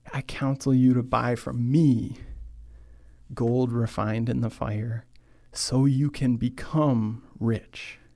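A man with a Midwestern accent speaks at a medium pitch in a dark, mellow tone. The recording is very clean, with a silent background. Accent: general American, Midwestern. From US Midwest, Michigan. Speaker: podcast host and church speaker. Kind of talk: sermon-style talk. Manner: slow, deliberate, start and stop; not fast or excitable.

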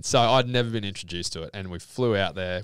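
The speaker has a Queensland accent and ordinary pitch variation, moving at a fairly quick pace. The recording is very clean, with a silent background. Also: man. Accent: Australian (Queensland). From Brisbane, Australia. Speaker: electrical apprentice, former pro golfer. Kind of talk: casual interview chat.

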